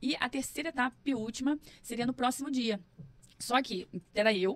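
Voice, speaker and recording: A woman speaks in a high pitch with an animated tone. Her pitch varies in an ordinary way. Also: moderate pace. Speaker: psychologist and entrepreneur. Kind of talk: podcast interview, personal story.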